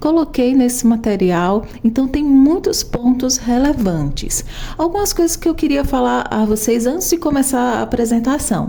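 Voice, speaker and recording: Over noticeable background noise, a woman speaks with a high pitch that swings very widely, keeping her loudness very even and barely pausing. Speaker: programmer and tech educator. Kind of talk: tutorial. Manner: slow.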